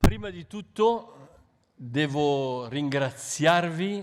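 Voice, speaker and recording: Here a man talks with lively intonation. His pitch is fairly high. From Italy, Milan. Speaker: bishop, missionary. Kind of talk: talk with interpreter. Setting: public event with audience. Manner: short phrases paused for interpreter.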